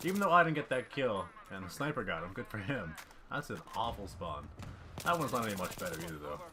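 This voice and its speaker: A man's fairly low voice at a very fast pace, with very wide pitch swings and noticeable background noise. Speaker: gaming commentator. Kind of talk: gameplay commentary.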